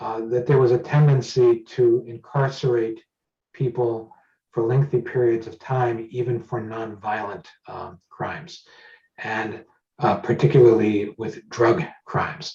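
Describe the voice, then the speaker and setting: A man speaks at medium pitch with a dark, mellow tone that is somewhat breathy. His pace is fairly slow, his intonation fairly even, and his loudness swings a lot. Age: 60s. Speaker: judicial candidate and lawyer. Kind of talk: candidate forum interview.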